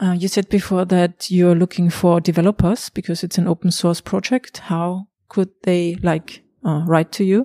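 Her German accent, dark, mellow tone and flat monotone come through as a woman speaks at a moderate pace in a very clean, silent, dry and close recording with no echo. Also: fairly low pitch for a woman. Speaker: podcast host. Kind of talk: interview. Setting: conference venue.

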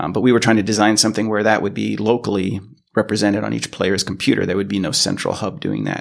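With an American accent, a man talks at a very fast pace in a fairly low voice with vocal fry and fairly even intonation. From US West Coast, Los Angeles. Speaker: software engineer. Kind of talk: interview. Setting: office.

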